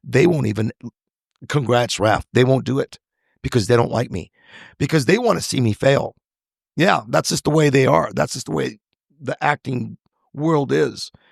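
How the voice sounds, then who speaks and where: With vocal fry and lively intonation, a man at medium pitch talks at a moderate pace with long, frequent pauses, in a dry, close sound with no echo. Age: 60s. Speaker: actor and screenwriter. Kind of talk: interview conversation.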